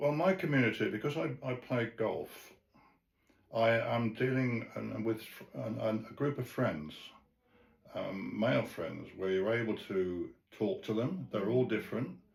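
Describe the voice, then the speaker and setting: The speaker has vocal fry and leaves long, frequent pauses. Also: man, medium pitch for a man, lively intonation, fairly slow pace. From England. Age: 80s+. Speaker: retired sales and marketing manager. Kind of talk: interview answer.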